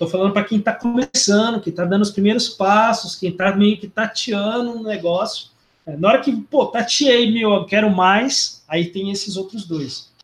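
Delivery comes at a moderate pace with ordinary pitch variation and hardly any pauses. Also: man, high pitch for a man. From Londrina, Paraná, southern Brazil. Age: 40s. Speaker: philosophy professor. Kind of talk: casual interview. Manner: halting, with frequent repetitions.

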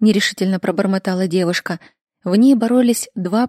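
Against a quiet background, someone reads aloud plainly.

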